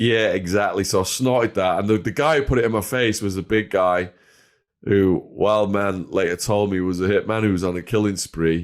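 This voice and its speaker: On a very clean recording with a silent background, a man with an English accent speaks at a moderate pace, fairly low in pitch, with ordinary pitch variation and very even loudness. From northwest England. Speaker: former drug dealer and ex-prisoner. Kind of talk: storytelling interview.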